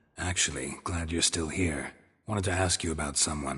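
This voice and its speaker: A man speaks in a put-on character voice with a deadpan tone. His raspy voice sits very deep and low, at a moderate pace. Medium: video game. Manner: terse, dry, deadpan.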